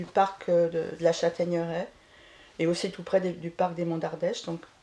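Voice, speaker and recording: This woman's voice has a dark, mellow tone. Her pace is moderate. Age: 70s. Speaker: eco-village resident. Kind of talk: casual interview.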